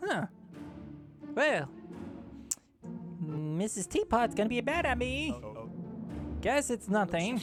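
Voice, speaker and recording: Using a put-on character voice at a high pitch, a man speaks at a fairly slow pace with long, frequent pauses as faint music plays in the background. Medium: game stream. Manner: sing-song, overly friendly.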